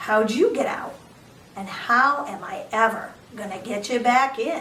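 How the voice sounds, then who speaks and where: A woman uses a gruff, put-on character voice at a fairly high pitch with ordinary pitch variation. She talks at a moderate pace, and there is audible echo. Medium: read story.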